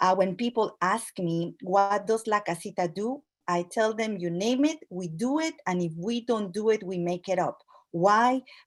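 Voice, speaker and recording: The woman speaks at a medium pitch with a Latin American accent. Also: ordinary pitch variation, moderate pace. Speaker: immigrant community organization leader. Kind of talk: speech at an online event. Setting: video call. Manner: halting, with frequent fillers.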